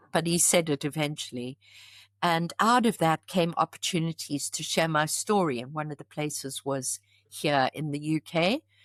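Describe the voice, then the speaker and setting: A woman's fairly low voice with a strong South African accent at a moderate pace, dry and close with no echo, on a very clean recording with a silent background. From South Africa, KwaZulu-Natal (Pietermaritzburg). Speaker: charity founder. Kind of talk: podcast interview.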